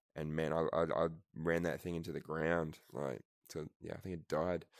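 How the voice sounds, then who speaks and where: In a very clean recording with a silent background, a man with a very deep, low pitch speaks at a moderate pace. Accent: Australian. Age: 30s. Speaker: podcast host. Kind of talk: casual chat. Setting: VR social app party.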